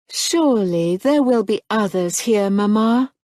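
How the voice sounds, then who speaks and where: A put-on character voice, female-sounding and fairly high in pitch, at a fairly slow pace. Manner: gentle, appeasing.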